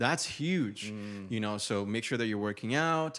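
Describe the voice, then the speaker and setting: At a moderate pace, a man talks with a Brazilian accent. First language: Portuguese. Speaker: YouTuber and men's style coach. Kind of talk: casual podcast interview.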